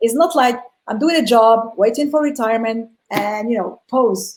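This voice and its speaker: This woman has a non-native accent and a fairly high pitch. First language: not English. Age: 40s. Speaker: entrepreneur. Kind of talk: interview.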